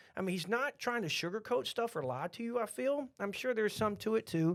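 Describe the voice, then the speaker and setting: An animated man with a high pitch talks at a fairly quick pace. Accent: Texan. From Texas. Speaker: podcast host, restaurant franchise owner. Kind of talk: casual chat. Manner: repetitive, stammering.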